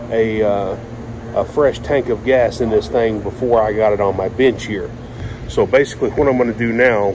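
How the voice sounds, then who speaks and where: With fairly even intonation, a man speaks as noticeable background noise carries on behind him. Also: moderate pace. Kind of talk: tutorial. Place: workshop. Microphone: phone near.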